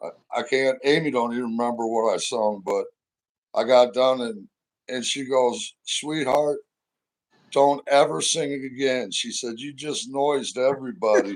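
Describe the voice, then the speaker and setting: A man speaks with a Midwestern US accent at a medium pitch. His pace is moderate and his intonation fairly even. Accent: US Midwest. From St. Louis area, Missouri. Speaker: interview guest, former roofer. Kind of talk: casual interview chat.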